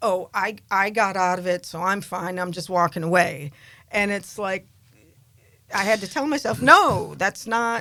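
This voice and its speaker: A woman speaks at a medium pitch and a fairly slow pace, with ordinary pitch variation. Her tone is bright and sharp, on a very clean recording with a silent background. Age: 60s. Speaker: podcast host. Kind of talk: casual chat. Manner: halting.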